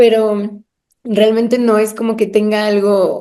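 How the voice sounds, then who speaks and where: A woman's fairly high voice carries a dark, mellow tone. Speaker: podcast co-host. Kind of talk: casual chat.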